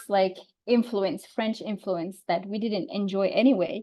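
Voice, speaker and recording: The speaker is a woman with a Tunisian accent. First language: Tunisian Arabic. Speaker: Arabic teaching expert. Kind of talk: online talk / Q&A.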